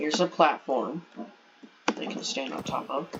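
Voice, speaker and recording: Noticeable background noise runs through the clip. A man is speaking. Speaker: gaming video creator. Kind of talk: game walkthrough narration.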